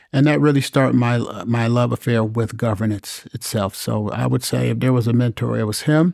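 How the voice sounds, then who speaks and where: In an American accent, a man speaks fairly quickly at medium pitch with fairly even intonation and a dark, mellow tone, the sound dry and close with no echo. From US Midwest, North Chicago, Illinois. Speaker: mayor. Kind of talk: interview. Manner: halting, many fillers.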